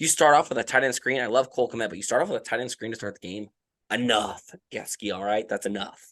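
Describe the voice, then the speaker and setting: In a put-on character voice, a raspy man speaks very fast at a medium pitch, his loudness swinging widely. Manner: heated.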